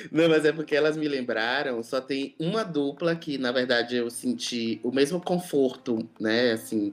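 A normal speaking voice with ordinary pitch variation, a fairly slow pace and hardly any pauses. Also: man, fairly high pitch for a man. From Brazil, Salvador (Bahia). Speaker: DJ. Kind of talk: casual chat.

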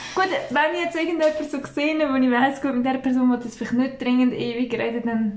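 A woman at a high pitch and fairly quick pace, with ordinary pitch variation and audible room echo. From Switzerland, village near Baden, Aargau. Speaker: podcast co-host. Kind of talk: casual chat.

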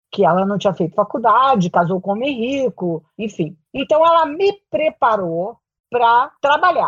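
Very wide pitch swings mark this woman's speech, which sits at a fairly high pitch. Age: 70s. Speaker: career transition consultant and executive coach. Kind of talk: interview.

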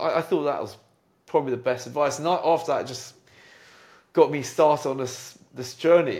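A British accent at a moderate pace, fairly even in intonation, on a very clean recording with a silent background. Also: man. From UK. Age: 40s. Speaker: entrepreneur and jazz pianist. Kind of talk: casual chat. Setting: home piano room.

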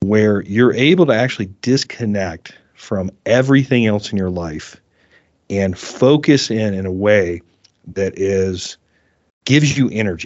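Speaking in a plain, everyday voice with an American accent, a man uses a fairly low pitch, lively intonation and a fairly slow pace. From US South, South Carolina. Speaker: CBD company founder and fly fisherman. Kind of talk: casual interview chat.

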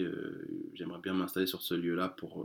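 On a very clean recording with nothing in the background, a man's voice sounds very deep and low. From France. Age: 30s. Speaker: street bookseller. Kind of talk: interview. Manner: halting.

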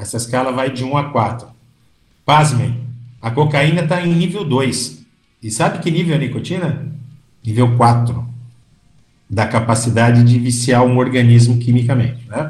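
Music plays behind a man who speaks with ordinary pitch variation. Long, frequent pauses and audible room echo mark the clip. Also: medium pitch for a man, moderate pace. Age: 60s. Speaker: physician. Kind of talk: interview.

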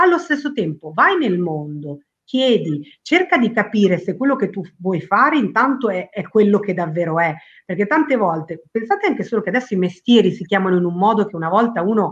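A woman's medium-pitched voice with very wide pitch swings. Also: fairly quick pace. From Argentina. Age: 40s. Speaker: company president, women's career trainer. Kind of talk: interview.

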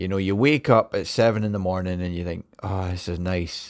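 Here a man speaks with a Scottish accent on a very clean recording with a silent background. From Scotland. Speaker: podcaster. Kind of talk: casual monologue. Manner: halting.

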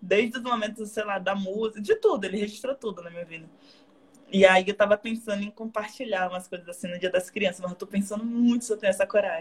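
A woman talks at a very fast pace with fairly even intonation and medium pitch. Her voice is somewhat breathy and swings a lot in loudness. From Bahia, Brazil (southern Bahia coast). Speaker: actress and dancer. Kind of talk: casual live stream interview. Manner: talkative.

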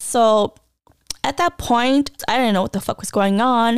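A woman speaks with ordinary pitch variation. The sound is dry and close with no echo, in a very clean recording with a silent background. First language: non-English native language. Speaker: podcast host sharing personal stories. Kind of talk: personal storytelling monologue. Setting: home recording with cats nearby. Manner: casual, conversational with fillers.

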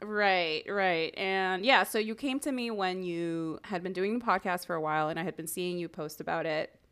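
In an ordinary speaking voice with an American accent, a woman talks at a moderate pace and a medium pitch, with ordinary pitch variation and hardly any pauses. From Miami, Florida. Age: 30s. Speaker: podcast producer and end-of-life doula. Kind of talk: casual interview chat.

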